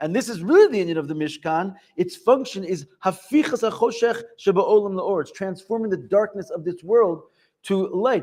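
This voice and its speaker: This man's voice is high in pitch, with lively intonation. He speaks at a fairly quick pace. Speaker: yeshiva teacher. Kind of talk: lecture. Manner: fast.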